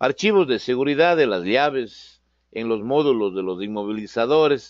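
Here a man talks at a fairly slow pace. His pitch swings very widely. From Ecuador. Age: 50s. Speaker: automotive programming instructor. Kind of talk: online lecture. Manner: hesitant, frequent fillers.

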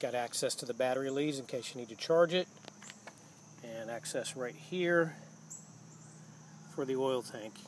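Speaking at a fairly slow pace, a man with a medium pitch uses ordinary pitch variation and long, frequent pauses.

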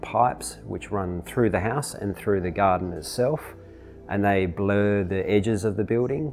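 Faint music plays in the background. A man speaks at a fairly low pitch with ordinary pitch variation. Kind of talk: interview answer. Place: home room.

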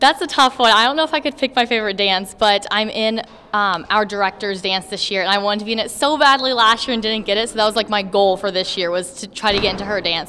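A woman speaks very fast with ordinary pitch variation, light background noise behind her. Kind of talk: interview answer. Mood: cheerful, enthusiastic. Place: gym. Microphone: handheld.

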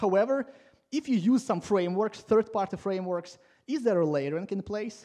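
A man's high-pitched voice with a dark, mellow tone, ordinary pitch variation and a moderate pace, against a quiet background. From Latvia. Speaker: conference speaker, software coach. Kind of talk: conference talk. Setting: stage with audience. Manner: informal, humorous, self-deprecating. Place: classroom. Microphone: headset.

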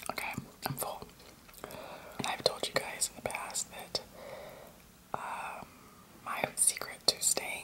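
Loud background noise sits behind this recording. A woman talks at a fairly slow pace. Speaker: food vlogger. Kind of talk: casual vlog chat. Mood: disgusted amused. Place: kitchen. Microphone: phone near.

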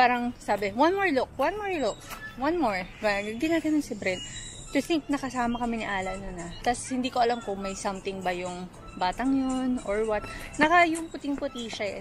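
A woman with a high voice speaks at a fairly quick pace over clear background music, the sound dry with no echo. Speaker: vlogger. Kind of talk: casual vlog chat. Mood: concerned, protective storytelling. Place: garden. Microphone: phone near.

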